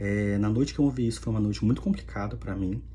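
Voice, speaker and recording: A man with a very deep, low pitch speaks with very wide pitch swings, and audible room echo surrounds his voice. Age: 30s. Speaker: video blogger. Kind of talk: personal testimony.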